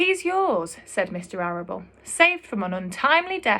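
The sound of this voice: What you hear is an unforced reading voice.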